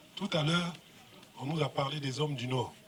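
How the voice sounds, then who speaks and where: Noticeable background noise surrounds this man. He talks at a moderate pace with fairly high pitch. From Côte d'Ivoire, Yamoussoukro. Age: 60s. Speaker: government minister and governor. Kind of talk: public speech. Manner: animated.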